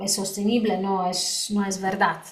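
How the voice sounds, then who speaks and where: Speaking very slowly with a Polish accent, a woman uses a medium pitch and fairly even intonation. Audible room echo surrounds her voice. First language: Polish (speaking Spanish). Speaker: lawyer and lecturer on EU wine law. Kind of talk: conference talk Q&A. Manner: halting, many fillers.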